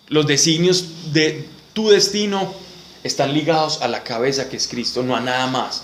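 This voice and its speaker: Noticeable background noise sits behind a man's voice. He speaks at a fairly slow pace with a fairly high pitch. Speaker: Bible study teacher. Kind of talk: Bible study class.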